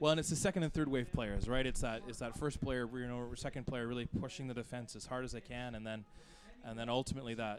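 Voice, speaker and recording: Fairly even in intonation, a man with a Canadian accent and medium pitch talks at a very fast pace. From Canada. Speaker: sports commentator. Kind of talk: live commentary.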